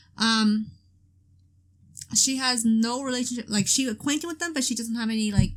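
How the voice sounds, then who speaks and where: A woman's fairly high-pitched voice with ordinary pitch variation, a moderate pace and long, frequent pauses. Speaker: gaming video creator. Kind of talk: let's play commentary. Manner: loud; hesitant, many fillers.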